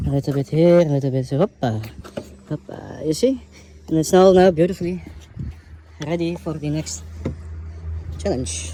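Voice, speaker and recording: At a moderate pace, a man with a fairly high-pitched voice and ordinary pitch variation takes long, frequent pauses. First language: not English. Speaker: DIY car mechanic youtuber. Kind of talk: tutorial. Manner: casual, chatty.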